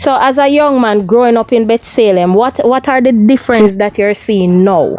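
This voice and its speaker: Against noticeable background noise, a woman speaks in a fairly high pitch with ordinary pitch variation. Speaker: video blogger interviewer. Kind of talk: casual interview.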